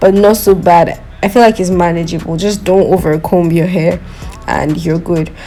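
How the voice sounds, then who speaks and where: Over music in the background, a woman with a non-native accent speaks at a medium pitch with fairly even intonation. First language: not English. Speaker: beauty vlogger. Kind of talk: product review. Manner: casual, chatty.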